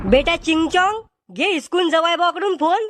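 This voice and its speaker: At a moderate pace, a cartoonish character voice squeaks out in an extremely high pitch. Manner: loud, rustic.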